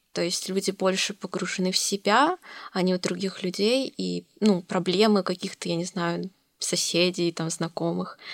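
With a dry, close sound and no echo, a woman talks at medium pitch and moderate pace, her intonation fairly even and touched by vocal fry. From Russia, Novosibirsk. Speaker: university student. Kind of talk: casual chat.

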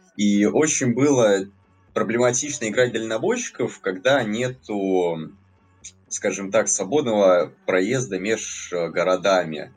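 Music plays in the background as a man talks very slowly in a fairly low pitch, with ordinary pitch variation and very even loudness. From Latvia. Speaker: gaming community administrator. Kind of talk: casual chat. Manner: hesitant with filler words.

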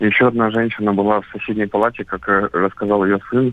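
In a fairly low voice, a man speaks in a monotone, flat way. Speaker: correspondent. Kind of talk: field report.

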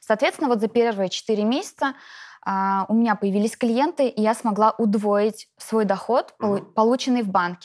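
Using an ordinary speaking voice, a woman talks at a fairly high pitch and moderate pace with ordinary pitch variation and very even loudness on a very clean recording with a silent background. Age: 30s. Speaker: network marketing distributor. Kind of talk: interview.

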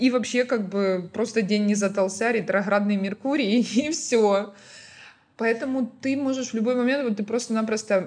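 A woman has a normal speaking voice with a fairly high pitch. She talks at a moderate pace with ordinary pitch variation. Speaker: restaurant founder and food blogger. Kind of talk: casual podcast interview.

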